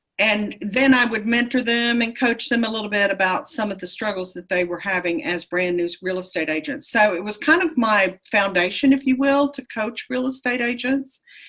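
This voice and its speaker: Against noticeable background noise, a woman with an American accent and a fairly high pitch speaks with lively intonation and hardly any pauses. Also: moderate pace. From Texas. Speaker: real estate coach. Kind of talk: interview.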